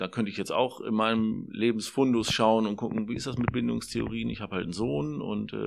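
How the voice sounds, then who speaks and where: A man speaks at a very fast pace. His fairly low voice carries vocal fry. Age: 40s. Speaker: social work student. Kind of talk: interview.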